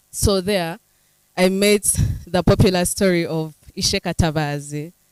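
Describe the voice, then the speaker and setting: The recording is dry and close, with no echo. A woman speaks in a fairly low pitch with ordinary pitch variation. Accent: Ugandan. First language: Runyankole. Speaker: writer. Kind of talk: panel discussion.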